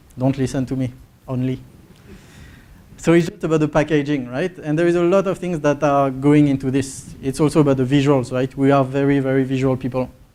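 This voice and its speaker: A man with a French accent talks at a fairly quick pace, his fairly high pitch held in fairly even intonation. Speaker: market research presenter. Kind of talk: conference presentation.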